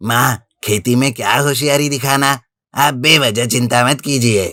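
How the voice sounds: Speaking fairly slowly, a man uses a cartoonish character voice at a medium pitch.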